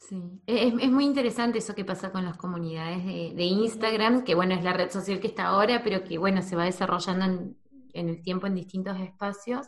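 The delivery comes at a fairly quick pace in a plain, everyday voice. Pitch variation is ordinary. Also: woman, medium pitch for a woman. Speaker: podcast host. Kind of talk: casual interview.

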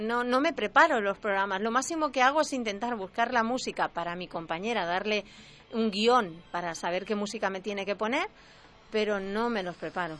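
An ordinary speaking voice from a woman, fairly high in pitch, at a fairly quick pace with lively intonation. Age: 40s. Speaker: local radio presenter. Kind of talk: casual interview chat. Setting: radio studio.

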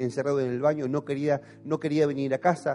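A man speaks in an Argentine accent. His pitch is fairly high and his pace fairly quick. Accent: Argentine Spanish (voseo). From Argentina, Patagonia (Caleta Olivia). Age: 40s. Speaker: pastor. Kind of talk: sermon. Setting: church.

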